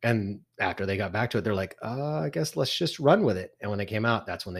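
A man talks at a very fast pace with fairly low pitch, ordinary pitch variation and a slight Texan accent. The recording is very clean, with a silent background. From Texas.

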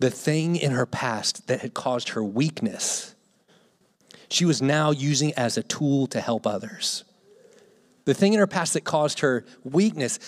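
A man with a plain, everyday voice and an American accent talks at a moderate pace in a fairly high pitch with lively intonation, on a very clean recording with a silent background. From Gloucester, Virginia, US. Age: 30s. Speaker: missionary. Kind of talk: sermon. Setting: church.

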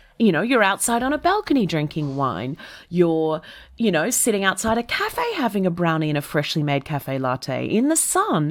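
A woman talks in an Australian accent. Her pitch swings very widely. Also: fairly low pitch for a woman, moderate pace, very clean recording, silent background. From Australia, Melbourne. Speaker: comedian. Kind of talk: casual chat. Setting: podcast interview. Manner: animated.

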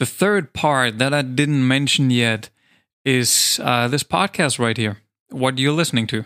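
The voice has a bright, sharp tone and very even loudness, delivered at a fairly slow pace in a very clean recording with a silent background. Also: man, medium pitch for a man, ordinary pitch variation, dry, close sound with no echo. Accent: German. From Germany. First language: German. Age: 30s. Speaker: kindergarten teacher and podcast host. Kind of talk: solo podcast monologue and storytelling.

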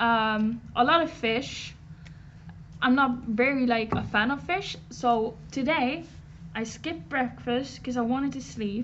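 A woman with a high pitch and ordinary pitch variation speaks at a fairly slow pace amid audible room echo. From western Norway. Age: 20s. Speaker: art student. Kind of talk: casual chat. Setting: live stream.

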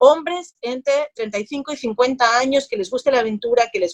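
Recorded dry and close with no echo, a woman speaks in a high voice. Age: 30s. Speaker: marketing agency founder. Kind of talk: interview.

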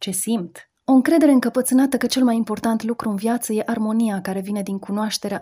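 A woman with a fairly high pitch and a dark, mellow tone speaks at a fairly quick pace, her voice somewhat breathy, in a very clean recording with a silent background. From Romania. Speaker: radio columnist. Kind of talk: scripted narration. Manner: reflective.

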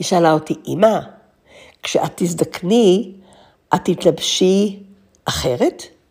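A woman's fairly low, dark, mellow voice with ordinary pitch variation, at a very slow pace with long, frequent pauses. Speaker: podcast host. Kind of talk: monologue. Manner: reflective.

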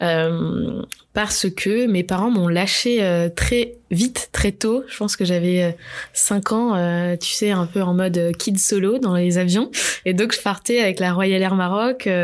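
The pace here is very slow. A woman talks at a medium pitch. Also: ordinary pitch variation. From France, Bordeaux. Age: 20s. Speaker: pastry entrepreneur. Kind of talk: interview.

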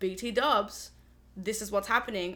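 In an Australian accent, a woman speaks at a fairly high pitch. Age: 20s. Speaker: music student. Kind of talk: casual chat. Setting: studio.

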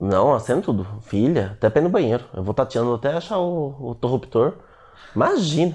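Against a quiet background, a man speaks at a moderate pace and a medium pitch. His voice is somewhat breathy, with very wide pitch swings. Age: 20s. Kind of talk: casual chat. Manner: animated.

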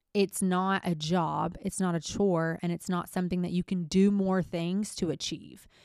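With an unremarkable speaking voice, a woman talks at a fairly low pitch and moderate pace with fairly even intonation and hardly any pauses, in a very clean recording with a silent background. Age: 20s. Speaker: solo podcast host. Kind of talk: personal monologue. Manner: casual, conversational.

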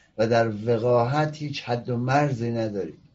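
A man speaks with ordinary pitch variation. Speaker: political commentary show host, opposition activist. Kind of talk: political commentary monologue. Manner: animated.

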